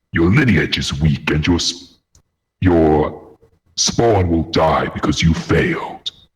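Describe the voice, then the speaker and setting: A man puts on a character voice with a very deep, low pitch. He moves at a fairly slow pace, with long, frequent pauses. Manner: menacing, threatening.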